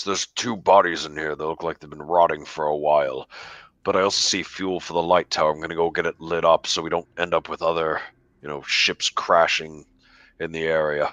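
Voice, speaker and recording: A man uses a put-on character voice, very deep, low and raspy. He moves at a fairly quick pace over a quiet background. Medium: actual play.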